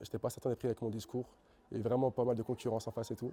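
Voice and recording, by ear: Using a put-on character voice, a man speaks very fast at a medium pitch, hoarse and monotone. His intonation stays flat throughout.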